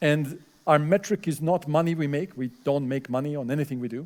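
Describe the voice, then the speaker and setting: With a non-native accent, a man of fairly high pitch talks at a fairly quick pace with ordinary pitch variation. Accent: foreign accent, fluent English. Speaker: professor. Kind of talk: lecture Q&A. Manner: hesitant, many fillers.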